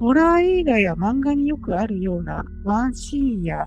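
With music in the background, a woman's voice proceeds at a moderate rate. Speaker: virtual youtuber. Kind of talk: ghost story narration. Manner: polite, formal.

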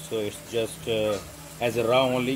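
A man talks at a fairly slow pace with fairly even intonation. Noticeable background noise runs underneath. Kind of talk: cooking tutorial. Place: kitchen.

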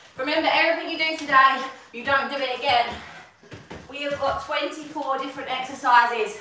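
A woman's raised, projected voice at a moderate pace, with ordinary pitch variation, long and frequent pauses, audible room echo, and light background noise. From UK. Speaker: fitness instructor. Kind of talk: live workout coaching, calling exercises and countdowns while training along. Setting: live stream from a home workout room. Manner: energetic, pushing encouragement in short bursts; chatty and giggly, casual asides. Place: home room.

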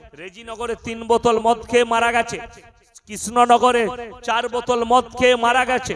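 A man talks in an animated tone at an extremely high pitch. Noticeable background noise runs behind him. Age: 30s. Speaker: Islamic preacher. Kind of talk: sermon.

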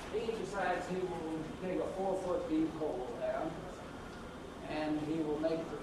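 Audible room echo and noticeable background noise around a male voice. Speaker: presenter. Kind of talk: lecture. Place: hall.

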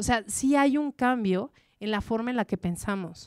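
In a dry recording with no echo and a quiet background, a woman speaks at a fairly high pitch with lively intonation and an animated tone. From Mexico. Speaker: journalist and language adviser giving a talk; journalist. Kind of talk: talk to a live audience. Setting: stage with audience. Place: stage. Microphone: handheld.

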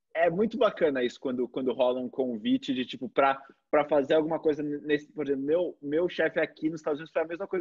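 A man talks at a fairly quick pace, pitched fairly high for a man. His intonation is lively, and the background is quiet. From Brazil. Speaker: video channel host, copywriter; video channel host. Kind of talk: casual interview. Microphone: video call.

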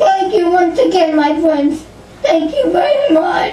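A cartoonish character voice at an extremely high pitch speaks at a fairly slow pace over clear background noise. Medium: puppet.

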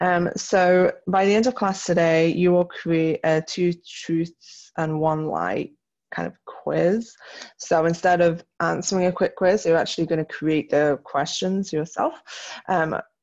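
Over a quiet background, a woman with an unremarkable speaking voice talks at a fairly slow pace, her fairly low pitch held in fairly even intonation. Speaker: teacher. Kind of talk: recorded lesson tutorial. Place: home room.

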